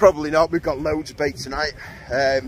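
A man talks at a moderate pace with fairly even intonation. The sound is dry with no echo, with light background noise. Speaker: angler vlogger. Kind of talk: casual vlog chat. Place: waterside. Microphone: phone near.

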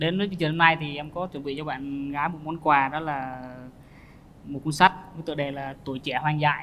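A man speaks in a nervous tone at a fairly quick pace, his pitch fairly high. His intonation stays fairly even over light background noise. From southern Vietnam. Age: 20s. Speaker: soldier, dating show contestant. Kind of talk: casual chat. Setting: studio. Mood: shy, slightly nervous. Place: studio.

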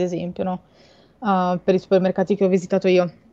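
A woman speaks at a medium pitch in a flat monotone. Her tone is dark and mellow. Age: 20s. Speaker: marine biologist and shark science communicator; guest. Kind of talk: interview about sharks on a livestream. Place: home room.

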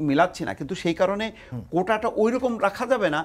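This man has a high pitch and lively intonation. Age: 60s. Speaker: newspaper editor and political commentator; newspaper editor, political commentator. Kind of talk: TV talk show debate. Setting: TV studio. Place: studio. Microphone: lapel.

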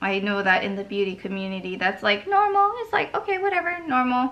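The woman's intonation is lively. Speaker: beauty vlogger. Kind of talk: casual makeup tutorial chat.

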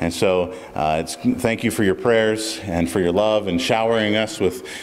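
Light background noise accompanies a man speaking at a moderate pace with a very deep, low pitch. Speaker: pastor. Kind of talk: church announcements and prayer. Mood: warm and grateful. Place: church. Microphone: podium.

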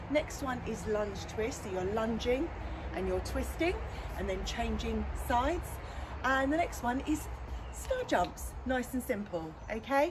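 Background noise is noticeable throughout. The speech moves at a fairly slow pace. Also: woman. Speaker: fitness instructor. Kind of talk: tutorial. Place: garden. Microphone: camera far.

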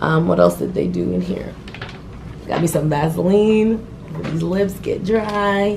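A woman at a fairly slow pace amid noticeable background noise. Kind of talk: casual vlog chat. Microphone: phone near.

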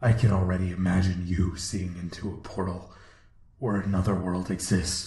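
A man uses a put-on character voice pitched very deep and low. He speaks at a moderate pace with a slight echo. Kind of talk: dark fantasy villain narration. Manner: grandiose, ominous, theatrical.

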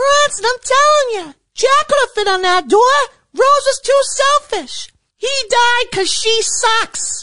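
This is a cartoonish character voice pitched extremely high. It moves at a fairly slow pace. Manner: loud, combative.

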